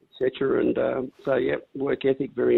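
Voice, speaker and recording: A man speaks with an Australian accent. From Australia, Northern Rivers NSW. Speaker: racehorse owner. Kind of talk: casual chat.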